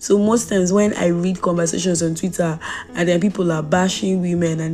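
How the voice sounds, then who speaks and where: Noticeable background noise sits behind a woman who talks very fast at a fairly low pitch. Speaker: podcast host. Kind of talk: casual monologue. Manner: fast when excited.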